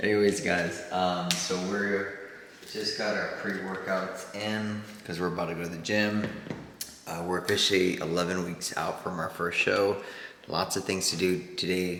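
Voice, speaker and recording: Amid noticeable background noise and audible room echo, a man with a very deep, low voice speaks at a moderate pace in a flat monotone. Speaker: real estate broker and vlogger; former Marine. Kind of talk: casual vlog chat.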